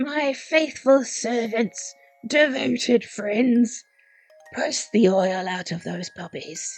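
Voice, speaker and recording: A woman's raspy, put-on character voice, fairly high-pitched and very slow, with faint music in the background. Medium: read story. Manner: commanding, menacing.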